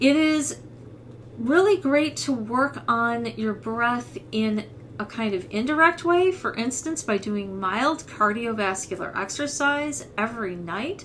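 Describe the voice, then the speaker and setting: A woman's fairly high voice with a Midwestern accent, very slow in pace and with very wide pitch swings. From US Midwest. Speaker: voice teacher. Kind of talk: tutorial.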